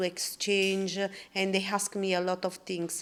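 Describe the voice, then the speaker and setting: A woman speaks at medium pitch with an Italian accent. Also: very clean recording, silent background. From Italy. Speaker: podcast guest, expat. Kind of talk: podcast conversation. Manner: halting.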